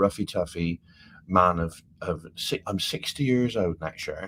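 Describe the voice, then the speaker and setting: A fairly slow man with an English accent, very deep and low in pitch, with ordinary pitch variation. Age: 50s. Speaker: travel vlogger. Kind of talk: casual chat. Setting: live stream from cruise ship cabin. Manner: animated.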